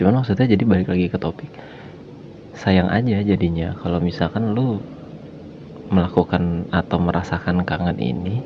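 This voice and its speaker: Against noticeable background noise, a man talks in a relaxed tone at a very deep, low pitch with ordinary pitch variation. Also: moderate pace. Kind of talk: casual podcast talk about feelings. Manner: relaxed, conversational, soft-spoken.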